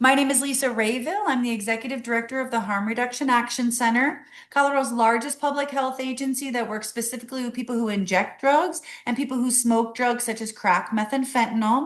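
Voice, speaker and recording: Speaking at a very fast pace with hardly any pauses, a woman uses a high pitch and fairly even intonation. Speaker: executive director of a harm reduction agency. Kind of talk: webinar presentation.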